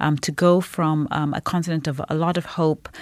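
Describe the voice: Recorded with a dry, close sound and no echo, a woman with a low pitch and slightly mellow tone speaks with fairly even intonation.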